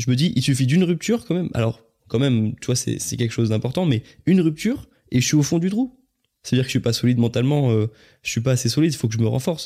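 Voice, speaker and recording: In a very clean recording with a silent background, a man talks at a very fast pace, his medium-pitched voice dark, mellow and somewhat breathy, with ordinary pitch variation. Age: 20s. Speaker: YouTuber and podcaster. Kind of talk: casual chat.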